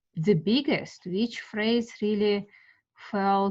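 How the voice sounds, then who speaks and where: At a fairly slow pace, a woman with a Russian accent talks at medium pitch in a somewhat breathy voice. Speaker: art teacher. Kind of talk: guided meditation class. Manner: halting.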